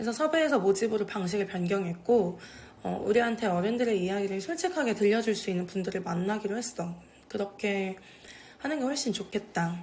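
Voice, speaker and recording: A woman at a medium pitch and fairly quick pace, over noticeable background noise. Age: young. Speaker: video creator documenting older residents' stories. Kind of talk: casual talk to camera. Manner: informal, relaxed.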